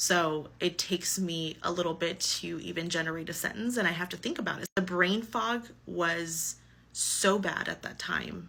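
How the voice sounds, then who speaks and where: A woman's fairly low voice with vocal fry and a bright, sharp tone, at a fairly slow pace. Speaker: person living with multiple sclerosis. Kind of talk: personal testimony. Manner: halting, searches for words; casual, conversational.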